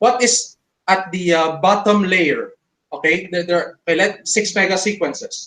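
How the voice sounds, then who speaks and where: A man with a non-native accent speaks at a moderate pace in a high, bright, sharp voice. His intonation is fairly even and his loudness very even. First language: not English. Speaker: creationist debater. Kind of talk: online debate. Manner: halting, many fillers.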